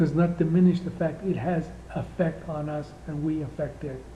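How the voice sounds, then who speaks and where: A man speaks in a high pitch with a dark, mellow tone and monotone, flat intonation. Room echo is audible. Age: 60s. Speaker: spiritual teacher. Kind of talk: spiritual talk. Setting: indoor room.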